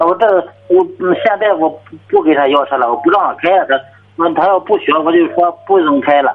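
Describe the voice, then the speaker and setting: High-pitched man at a fairly quick pace, with ordinary pitch variation. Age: 40s. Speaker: caller. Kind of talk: call-in advice conversation. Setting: phone call.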